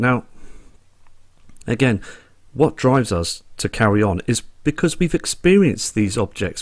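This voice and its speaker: In a Dorset accent, a man speaks at medium pitch and a moderate pace with lively intonation on a very clean recording with a silent background. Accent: Dorset twang. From Dorset, England. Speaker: sky watcher video blogger. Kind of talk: casual vlog monologue.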